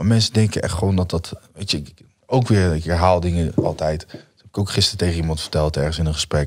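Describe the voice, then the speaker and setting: Very fast talk from a man with a very deep, low pitch and ordinary pitch variation, against a quiet background. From Netherlands. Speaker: musician; podcast guest. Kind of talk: casual interview. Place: studio. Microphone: studio mic.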